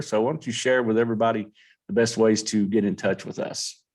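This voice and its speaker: Over a quiet background, a man with a Kentucky accent talks at a fairly quick pace. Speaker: sports podcast host. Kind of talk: casual chat.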